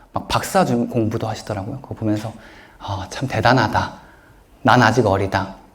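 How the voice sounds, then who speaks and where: Recorded with noticeable background noise and audible room echo, a man speaks at a fairly low pitch. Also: ordinary pitch variation, moderate pace. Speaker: author and self-help speaker. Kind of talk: lecture Q&A with audience.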